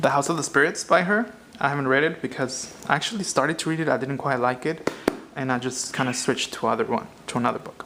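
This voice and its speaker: Speech rushes by at a very fast pace against noticeable background noise. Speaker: vlogger. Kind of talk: casual talk to camera. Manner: halting, many fillers and restarts.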